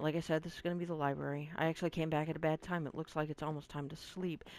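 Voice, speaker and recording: On a very clean recording with a silent background, a woman speaks with a very deep, low pitch and fairly even intonation. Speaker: gaming video creator. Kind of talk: let's play commentary. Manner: fast; casual, chatty.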